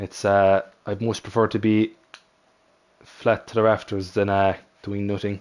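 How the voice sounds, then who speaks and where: Here a man with an Irish accent speaks at a fairly low pitch. His delivery has long, frequent pauses. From Ireland. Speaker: sim racing commentator. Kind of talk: live commentary. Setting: live stream. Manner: animated.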